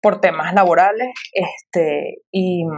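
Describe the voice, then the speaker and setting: In a normal speaking voice, a woman talks at a medium pitch with ordinary pitch variation. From Venezuela, Caracas. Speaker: sociologist and coffee entrepreneur, podcast guest. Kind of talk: casual interview conversation.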